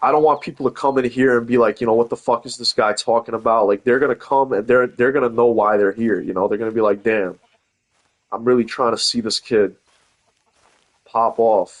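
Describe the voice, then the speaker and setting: A man with an American accent talks at a fairly quick pace in a medium pitch. The sound is dry and close with no echo, and his intonation stays fairly even. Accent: Brooklyn accent, comes and goes. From New York, Brooklyn (Coney Island). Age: 20s. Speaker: gaming streamer. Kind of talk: casual chat. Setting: live stream.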